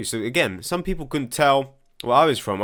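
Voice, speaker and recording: The recording is very clean with a silent background, carrying a man's voice with an American accent. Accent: English with European and American touches. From England. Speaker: political commentator. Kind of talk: commentary reading viewer comments. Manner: halting.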